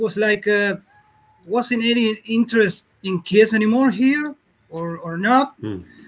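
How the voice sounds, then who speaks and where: Speaking at a very slow pace, a man with a Spanish accent talks in a high pitch. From Argentina. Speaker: caller. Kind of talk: casual chat.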